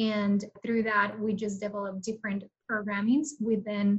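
A woman's somewhat breathy, fairly high-pitched voice with a Mexican accent, at a fairly slow pace. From Mexico. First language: Spanish. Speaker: program manager at a nonprofit. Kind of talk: interview.

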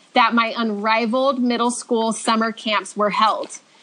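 A woman with a Californian accent speaks at a fairly slow pace in a fairly high voice. Noticeable background noise runs beneath her. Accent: Californian American. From Southern California (Redlands). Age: 30s. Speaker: stay-at-home mom sharing faith testimony. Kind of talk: testimony.

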